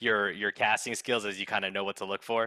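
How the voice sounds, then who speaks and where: On a very clean recording with a silent background, a man's medium-pitched voice has a bright, sharp tone. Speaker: podcast host. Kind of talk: interview. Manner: fast; mumbling.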